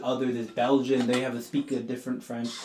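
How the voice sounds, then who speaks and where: Amid noticeable background noise, a man with a Southern California accent speaks at a medium pitch. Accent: Southern California American English. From Southern California, Mexican-American. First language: Spanish. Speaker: podcast host. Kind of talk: casual conversation.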